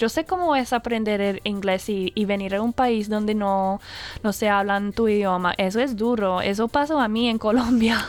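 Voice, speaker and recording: A woman's fairly high, upbeat voice at a moderate pace, with very even loudness and ordinary pitch variation. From Australia, Brisbane. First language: English (speaking Spanish). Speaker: Spanish and English teacher. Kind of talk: casual radio interview. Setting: radio studio. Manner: lively, upbeat; halting, with fillers.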